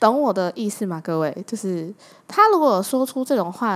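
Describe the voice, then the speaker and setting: A woman in a Taiwanese accent, animated in tone and at a moderate pace, on a very clean recording with a silent background. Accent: Taiwanese Mandarin. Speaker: podcast host. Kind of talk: casual monologue.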